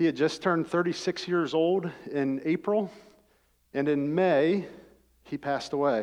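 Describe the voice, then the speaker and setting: Speaking in a Midwestern American accent, a man uses a fairly high pitch with ordinary pitch variation. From US Midwest (rural Ohio). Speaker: former pro football player and engineer. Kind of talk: testimony. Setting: church service.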